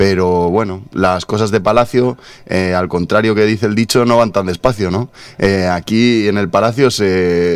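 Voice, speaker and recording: Fairly low male voice with fairly even intonation at a moderate pace. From Spain. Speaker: journalist. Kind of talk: radio interview. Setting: radio studio. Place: studio. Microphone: studio mic.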